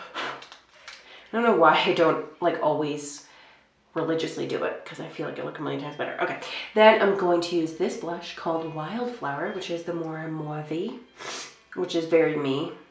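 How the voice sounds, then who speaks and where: Amid noticeable background noise and audible room echo, a woman speaks at a moderate pace with ordinary pitch variation, big swings in loudness, and long, frequent pauses. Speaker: beauty vlogger. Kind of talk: makeup tutorial chat. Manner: casual, filler-heavy.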